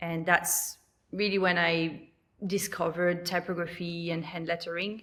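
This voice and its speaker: Speaking in a French accent, a woman keeps a monotone, flat intonation at a fairly low pitch and a fairly slow pace. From New Caledonia. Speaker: lettering artist and online teacher. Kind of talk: podcast interview. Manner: hesitant, many fillers.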